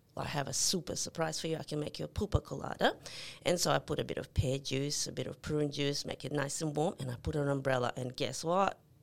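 Very fast and with fairly even intonation, a woman speaks with a Serbian accent in a very deep, low voice with vocal fry. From Yugoslavia (Serbia). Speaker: nurse. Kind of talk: casual chat.

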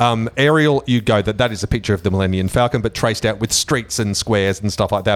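A man with an Australian accent talks at a very fast pace in a fairly low pitch. His pitch variation is ordinary, and the very clean recording has a silent background. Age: 40s. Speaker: radio host. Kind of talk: casual chat. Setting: studio.

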